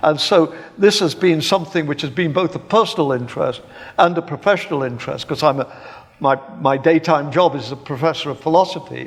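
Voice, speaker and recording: Fairly high-pitched man in an English accent, with ordinary pitch variation. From England, Birmingham. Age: 70s. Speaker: philosophy professor. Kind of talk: public debate. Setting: stage with live audience. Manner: halting, repeats words.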